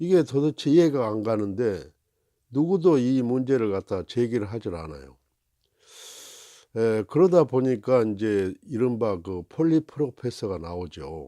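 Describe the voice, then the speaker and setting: Very slow speech in a dark, mellow tone with very wide pitch swings, dry and close without echo, on a very clean recording with a silent background. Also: man. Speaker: commentator with a doctorate. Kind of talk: opinion commentary monologue. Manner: many filler sounds, hesitant.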